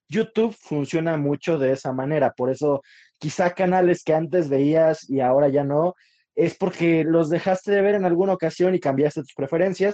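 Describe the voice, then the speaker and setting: A man with a normal speaking voice talks at a moderate pace and fairly high pitch, using ordinary pitch variation. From Mexico City (Iztapalapa). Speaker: podcast co-host. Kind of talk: casual chat.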